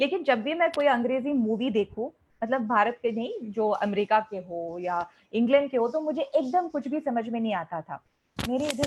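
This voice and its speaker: With a Malayali accent, a woman speaks at a high pitch and makes very wide pitch swings. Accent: Malayalam-accented Hindi. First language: Malayalam (speaking Hindi). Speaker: English teacher. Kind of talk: online interactive class.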